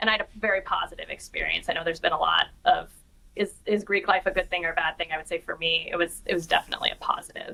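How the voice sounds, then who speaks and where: A woman with a Pacific Northwest accent, at a very fast pace. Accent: non-Boston, Pacific Northwest American. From northern Idaho, US Pacific Northwest. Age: 40s. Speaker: corporate executive. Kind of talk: interview.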